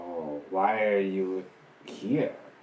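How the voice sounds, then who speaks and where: With slight echo in the background, a man puts on a character voice at a very deep, low pitch. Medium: actual play. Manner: terse, halting.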